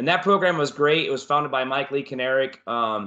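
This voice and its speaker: Against a quiet background, a man speaks with a bright, sharp tone. His pitch is fairly high. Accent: American. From Florida. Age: 40s. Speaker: martial arts instructor. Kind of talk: casual interview.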